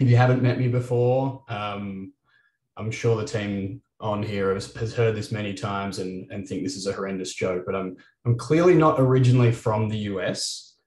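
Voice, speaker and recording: A man with an Australian accent speaks at a fairly low pitch, with ordinary pitch variation and a somewhat breathy quality. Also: moderate pace. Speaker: company CEO and moderator. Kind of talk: webinar panel moderation. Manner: frequent filler words (uh, um).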